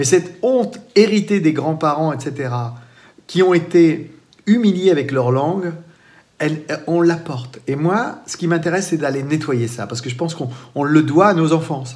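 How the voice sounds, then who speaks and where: A man with a western French accent at a fairly high pitch and moderate pace, lively in intonation with big swings in loudness, in audible room echo. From France, Vendée. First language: Poitevin-Saintongeais (speaking French). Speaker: storyteller. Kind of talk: interview. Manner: hesitant, with repetitions.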